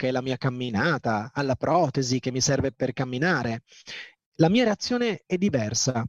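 A man speaks at a fairly high pitch and a fairly slow pace. The sound is dry and close, with no echo. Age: 40s. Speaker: entrepreneur and motivational speaker, amputee former basketball player. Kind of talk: motivational talk.

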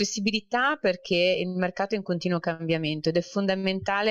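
A woman with a normal speaking voice and medium pitch talks at a fairly quick pace with fairly even intonation, in a dry, close sound with no echo. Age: 30s. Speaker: corporate banker. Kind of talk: interview.

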